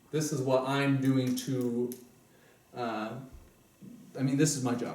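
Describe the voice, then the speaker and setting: Amid noticeable background noise and audible room echo, a man with a medium pitch talks at a fairly slow pace in a monotone, flat intonation. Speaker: self-help seminar presenter. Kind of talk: seminar talk. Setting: small group meeting at home.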